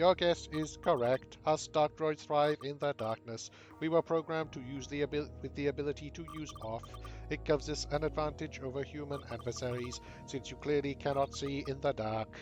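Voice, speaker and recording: Someone uses a put-on character voice at a moderate pace while clear music plays in the background. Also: man, fairly high pitch for a man. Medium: game stream.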